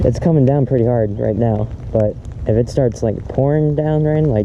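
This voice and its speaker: A man talks fairly quickly, his pitch varying in an ordinary way, with noticeable background noise behind him. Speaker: fishing vlogger. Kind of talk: casual vlog commentary. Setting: outdoors fishing in rain.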